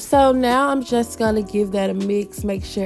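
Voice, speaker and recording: A woman's voice is heard. Behind her, music is playing. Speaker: lifestyle vlogger. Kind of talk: casual voiceover cooking narration.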